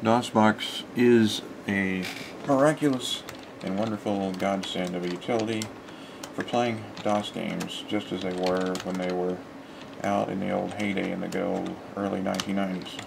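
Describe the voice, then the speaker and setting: Fairly low male voice at a moderate pace, with fairly even intonation, long and frequent pauses, and noticeable background noise. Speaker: gamer. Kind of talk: game walkthrough commentary. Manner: casual, rambling. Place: home room. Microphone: webcam.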